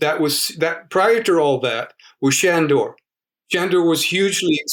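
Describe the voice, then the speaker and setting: Speaking in an American accent, a man uses a high pitch, ordinary pitch variation and a fairly slow pace. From US South, Georgia. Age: 70s. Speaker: yoga teacher. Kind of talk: interview. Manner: halting, with repetitions.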